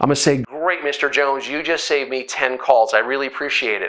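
Against a quiet background, a man talks in a bright, sharp tone. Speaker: sales trainer. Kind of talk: tutorial. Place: studio. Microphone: lapel.

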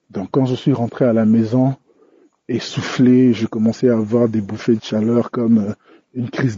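The man's voice sits at a medium pitch. He keeps a moderate pace with monotone, flat intonation. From DR Congo. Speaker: listener giving testimony. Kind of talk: recorded testimony. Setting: recorded on the way home.

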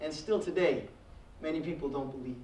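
A man speaks with an American accent, and the room echo is audible. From Trinidad and Tobago. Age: 20s. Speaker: college program administrator and guest speaker; guest. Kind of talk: speech. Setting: stage with audience. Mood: personal, reflective. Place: classroom. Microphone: podium.

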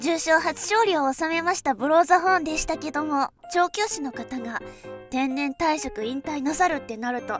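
A woman's high voice rises and falls in a lively way while music plays behind her. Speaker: horse racing VTuber. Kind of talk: casual talk to camera, race prediction.

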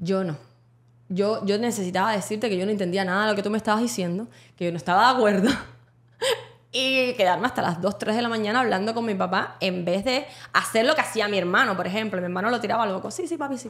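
Her pitch is medium. The woman speaks very fast. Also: ordinary pitch variation. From Cuba. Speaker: podcast co-host. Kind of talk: casual chat.

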